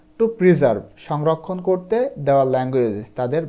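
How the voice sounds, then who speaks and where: A man's dark, mellow voice with lively intonation. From Bangladesh, Chuadanga district. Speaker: English tutor. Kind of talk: online lesson tutorial.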